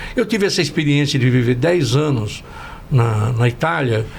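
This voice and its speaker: Noticeable background noise sits behind the speaker. A man talks at a fairly slow pace with lively intonation. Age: 70s. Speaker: industry union relations executive. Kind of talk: podcast panel discussion, closing remarks. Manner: halting, many repetitions and fillers.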